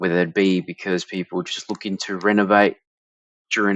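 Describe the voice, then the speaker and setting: In an Australian accent, a man speaks at a moderate pace with a fairly low pitch and monotone, flat intonation, the sound dry with no echo over a quiet background. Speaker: marketing director; presenter. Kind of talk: tutorial. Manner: casual, with frequent fillers and restarts. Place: home room.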